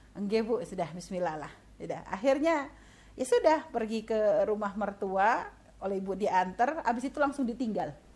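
A woman with a plain, everyday voice and a fairly high pitch speaks at a moderate pace with lively intonation. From Indonesia, Pontianak (West Kalimantan). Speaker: Islamic preacher. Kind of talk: religious lecture. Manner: conversational, with fillers.

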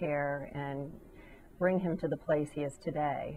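Low-pitched woman, fairly slow pace, fairly even intonation.

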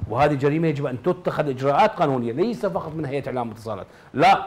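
There's noticeable background noise in the clip. The man's pace is fairly quick. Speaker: writer and journalist. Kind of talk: TV panel discussion. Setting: studio. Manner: formal.

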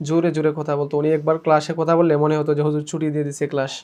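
Here a man speaks in a monotone with flat intonation. His pitch is fairly high. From Sylhet, Bangladesh. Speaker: head teacher at madrasa. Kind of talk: testimony.

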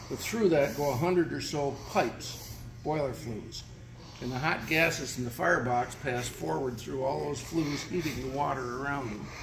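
A man speaks at a moderate pace and medium pitch, with ordinary pitch variation over noticeable background noise. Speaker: railroad volunteer tour guide. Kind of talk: guided shop tour. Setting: railroad restoration shop. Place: workshop. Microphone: phone near.

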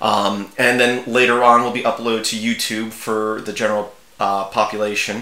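With audible room echo around him, a man speaks at a moderate pace in a bright, sharp tone with little pitch movement. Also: fairly low pitch for a man.

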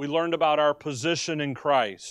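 A man on a quiet background, dry sound with no echo. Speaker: Bible teacher. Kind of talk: sermon. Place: classroom. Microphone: podium.

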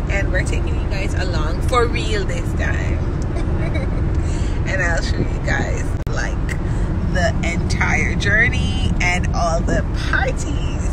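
A woman talks at a very slow pace over loud background noise. The sound is dry, with no echo. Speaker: vlogger. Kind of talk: casual vlog chat. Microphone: phone near.

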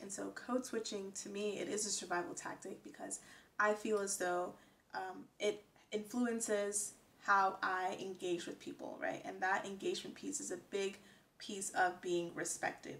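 At a moderate pace, a woman speaks with an American accent and ordinary pitch variation. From United States. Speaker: vlogger. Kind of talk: casual talk to camera. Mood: earnest, reflective. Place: home room.

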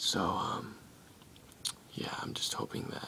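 The words are whispered. Background noise is noticeable throughout. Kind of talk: casual tech tutorial talk to camera. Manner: hesitant, many filler words.

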